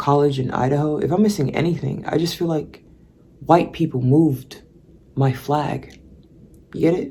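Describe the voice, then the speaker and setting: With an animated tone and a very deep, low pitch, a woman speaks with ordinary pitch variation and long, frequent pauses. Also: moderate pace. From Belize. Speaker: vlogger. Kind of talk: casual monologue. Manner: rambling, animated.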